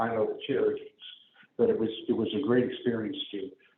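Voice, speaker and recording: A man with an American accent speaks at a fairly quick pace. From US Midwest, St. Louis area. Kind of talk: public talk. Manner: conversational with fillers.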